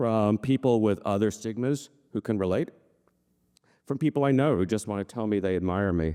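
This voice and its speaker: Speaking at a moderate pace with long, frequent pauses, a man uses a fairly low, dark, mellow voice with ordinary pitch variation, recorded very cleanly and dry and close with no echo against a silent background. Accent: American. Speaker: journalist. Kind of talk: personal storytelling before a live audience. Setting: live event.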